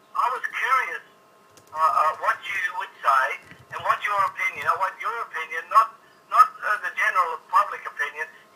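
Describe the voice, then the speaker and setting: Over noticeable background noise, a man speaks with long, frequent pauses and big swings in loudness. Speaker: preacher, caller on radio. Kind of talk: phone call on talkback radio, arguing. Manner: earnest, insistent, fast.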